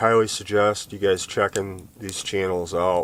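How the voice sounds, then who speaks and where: A man's fairly slow delivery, intonation fairly even. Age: 40s. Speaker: outdoor vlogger and videographer. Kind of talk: casual vlog talk to camera. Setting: outdoors at a campfire. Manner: hesitant with fillers.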